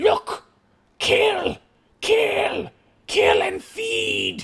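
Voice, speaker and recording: A shouted, raspy, put-on character voice at an extremely high pitch. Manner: crude, broken, demented shouting.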